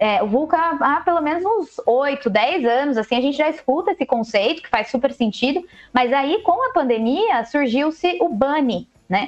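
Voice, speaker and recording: At a moderate pace, a woman speaks in an energetic tone with a high pitch and very wide pitch swings. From Brazil, Jundiaí (São Paulo state). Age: 30s. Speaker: innovation professional. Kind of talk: casual chat.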